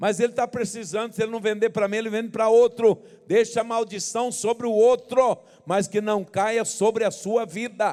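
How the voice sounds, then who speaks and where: At a moderate pace, a man speaks in a high pitch with monotone, flat intonation. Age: 70s. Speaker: pastor. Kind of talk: sermon.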